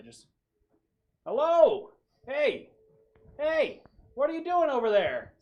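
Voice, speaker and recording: A put-on character voice at an extremely high pitch, fairly slow, with long, frequent pauses. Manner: calling out to someone, casual and curious.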